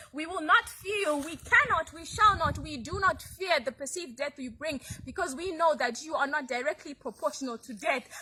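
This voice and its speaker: Using a raised, projected voice, a woman speaks at a high pitch with lively intonation at a moderate pace. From Zimbabwe. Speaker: poet, spoken word artist. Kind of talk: spoken word poetry performance.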